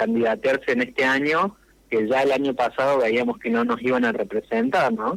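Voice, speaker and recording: A man with an ordinary speaking voice talks at a fairly slow pace, his medium pitch showing ordinary variation. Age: 40s. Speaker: local politician. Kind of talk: radio interview.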